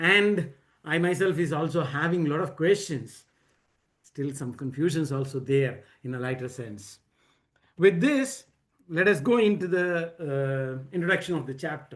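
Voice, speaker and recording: A man with an Indian accent talks at a moderate pace, fairly high in pitch, with lively intonation. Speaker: book discussion leader. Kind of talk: presentation at online reading circle. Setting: video call. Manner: halting, many fillers and repetitions.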